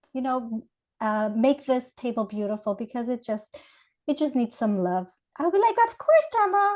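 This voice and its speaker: A woman with an Ecuadorian accent speaks at a moderate pace in a high pitch with very wide pitch swings. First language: Spanish. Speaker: Montessori educator. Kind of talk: podcast interview.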